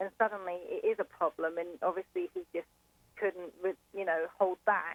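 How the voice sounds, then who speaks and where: Her English accent clear, a woman speaks at a medium pitch and moderate pace in a monotone, flat intonation. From England. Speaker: caller. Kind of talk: phone-in discussion. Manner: hesitant, many fillers.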